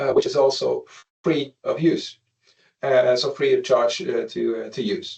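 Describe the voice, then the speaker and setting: A man at a moderate pace. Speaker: company presenter demonstrating software. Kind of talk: webinar product demo. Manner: halting with many fillers.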